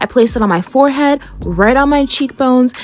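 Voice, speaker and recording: A woman's voice with noticeable background noise. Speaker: beauty content creator. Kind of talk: makeup tutorial voiceover. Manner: casual, chatty.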